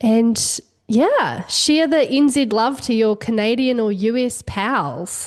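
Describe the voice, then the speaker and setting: A woman's fairly high voice in a New Zealand accent, very slow, with ordinary pitch variation and very even loudness. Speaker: wellness entrepreneur and cookbook author. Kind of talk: podcast interview.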